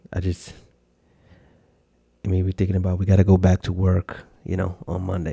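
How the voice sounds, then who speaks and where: In a very deep, low voice with a dark, mellow tone, a man speaks somewhat breathily at a very fast pace in a monotone, flat manner. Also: dry, close sound with no echo. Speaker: podcast host. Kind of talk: casual chat. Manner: halting.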